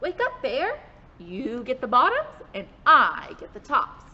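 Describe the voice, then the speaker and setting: Using a put-on character voice, a woman projects loudly at an extremely high pitch and a fairly slow pace. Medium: read story. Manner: sly, persuasive.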